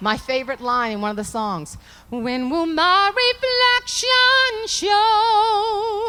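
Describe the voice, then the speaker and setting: Against noticeable background noise, a woman with an American accent raises and projects her voice. Her pitch is extremely high and her intonation lively. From Southern US. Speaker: motivational comedy speaker. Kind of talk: live keynote speech to audience. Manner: humorous, animated.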